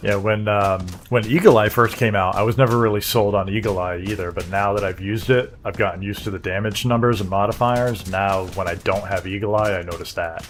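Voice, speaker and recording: Music plays behind a man with a fairly low pitch and fairly even intonation. He speaks at a fairly quick pace with hardly any pauses. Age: 40s. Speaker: gaming streamer. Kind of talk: casual live-stream gameplay chat.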